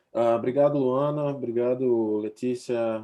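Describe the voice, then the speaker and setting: A man talks in a Recife accent with ordinary pitch variation. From Brazil, Recife. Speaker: futurist researcher. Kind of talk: webinar presentation.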